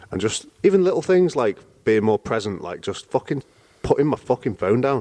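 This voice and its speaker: Over a quiet background, a man with a British accent speaks fairly quickly in a dark, mellow, medium-pitched voice with very wide pitch swings, the sound dry and close with no echo. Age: 20s. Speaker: personal trainer and MMA fighter. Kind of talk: casual chat.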